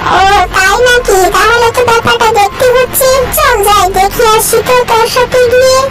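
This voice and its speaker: At a moderate pace, a cartoonish character voice speaks at an extremely high pitch. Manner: bossy, uses familiar 'tui'.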